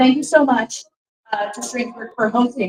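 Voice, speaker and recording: A woman with a high pitch. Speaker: book club host. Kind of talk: live event introduction. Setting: bar with live audience. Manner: loud.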